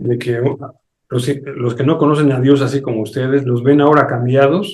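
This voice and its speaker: The man's voice is fairly high in pitch. His pace is fairly slow. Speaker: pastor. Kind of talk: sermon.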